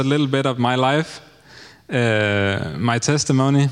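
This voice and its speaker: Speaking with a Danish accent, a man at medium pitch talks at a fairly slow pace with ordinary pitch variation. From Denmark. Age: 30s. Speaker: missionary. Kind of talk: testimony. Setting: church.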